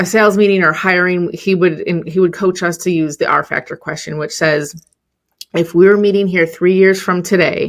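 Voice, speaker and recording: The speaker has a Chicago accent and a moderate pace. The intonation is monotone and flat. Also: woman, medium pitch for a woman. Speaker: entrepreneur and business coach. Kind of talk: podcast interview. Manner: casual, with frequent fillers.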